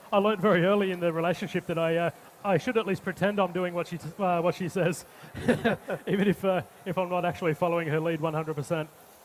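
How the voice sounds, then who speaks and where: A man with an Australian accent, high pitch, fairly quick pace and fairly even intonation. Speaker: chef. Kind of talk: cooking demonstration. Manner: halting, many fillers.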